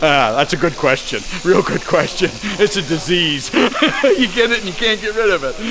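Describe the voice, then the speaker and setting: A man talks with a high pitch and very wide pitch swings. Background noise is noticeable. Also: moderate pace. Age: 70s. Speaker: sheep shearer and farm equipment mechanic. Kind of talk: casual interview. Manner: halting, with fillers and repeats.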